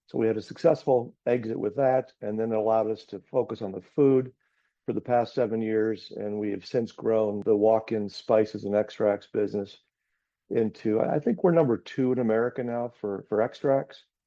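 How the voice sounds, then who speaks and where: Moderate pace, fairly even intonation and medium pitch in a man's unremarkable speaking voice. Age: 60s. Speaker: business owner. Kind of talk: webinar panel discussion.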